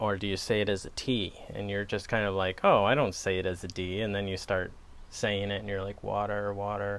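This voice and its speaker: With a Wisconsin accent, the speaker talks at a fairly quick pace in a relaxed tone with monotone, flat intonation. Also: man. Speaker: pipe tobacco reviewer. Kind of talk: casual chat. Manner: relaxed, hesitant with fillers.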